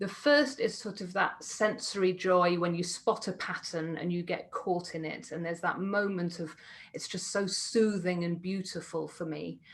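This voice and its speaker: A woman talks at medium pitch, somewhat breathy, with ordinary pitch variation. Her pace is moderate, with hardly any pauses. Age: 40s. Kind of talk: panel talk.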